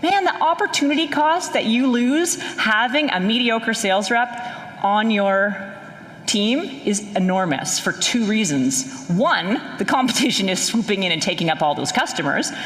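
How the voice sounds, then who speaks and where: A woman with a Canadian accent, fairly high in pitch with very wide pitch swings, at a fairly slow pace and very even loudness, against noticeable background noise. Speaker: sales strategy expert, conference speaker. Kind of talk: keynote talk. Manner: animated.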